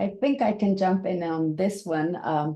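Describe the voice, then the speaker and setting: A woman with a Spanish accent speaks at a very slow pace in a fairly low pitch. Her tone is dark and mellow, with ordinary pitch variation. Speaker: science journalist. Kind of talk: panel discussion. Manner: halting.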